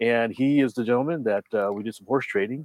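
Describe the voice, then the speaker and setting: In a normal speaking voice, a man talks at a fairly quick pace with ordinary pitch variation, the sound dry and close with no echo against a quiet background. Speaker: RC hobby podcast host. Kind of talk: casual chat, live stream. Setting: live stream.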